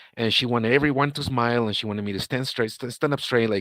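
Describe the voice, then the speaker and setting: Speaking in a Spanish accent, a man talks at medium pitch with ordinary pitch variation, in a very clean recording with a silent background and a dry, close sound with no echo. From Guatemala. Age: 40s. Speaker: interviewee, ex-husband of a person in the news. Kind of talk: live-stream interview. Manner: halting, many repeats and false starts.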